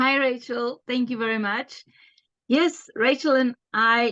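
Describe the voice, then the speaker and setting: A woman speaks with a South African accent against a quiet background. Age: 40s. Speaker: homeschooling mum and business partner. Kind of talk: casual chat.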